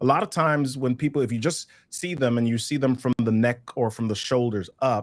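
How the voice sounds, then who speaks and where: Speaking fairly quickly with a New York accent, a man sounds animated. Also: medium pitch for a man, ordinary pitch variation. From New York City, the Bronx. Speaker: communication trainer. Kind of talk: webinar workshop.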